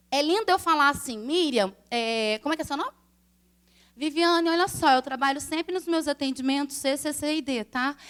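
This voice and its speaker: With ordinary pitch variation, a woman talks at a moderate pace in a high pitch. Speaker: eyelash extension instructor. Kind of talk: live lecture to an audience.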